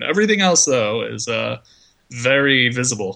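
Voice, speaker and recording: A man's bright, sharp voice moves through very wide pitch swings. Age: 20s. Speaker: comic book website writer. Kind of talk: casual chat.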